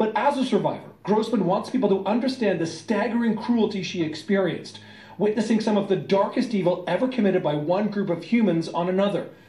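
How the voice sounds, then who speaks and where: Against noticeable background noise, a man speaks at a fairly quick pace in a high pitch with ordinary pitch variation. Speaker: TV news reporter. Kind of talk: TV news narration.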